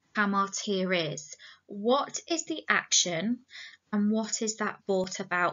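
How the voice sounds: This is a natural reading voice. The words are read aloud in it.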